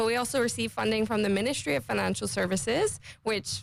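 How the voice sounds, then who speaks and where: Talking at a very fast pace, a woman speaks in a Caymanian accent. The recording is very clean, with a silent background. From Cayman Islands. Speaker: finance industry association representative. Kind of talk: radio interview.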